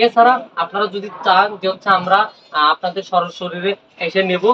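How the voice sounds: Bright and sharp in tone, a man speaks fairly quickly at a high pitch, his pitch varying in an ordinary way.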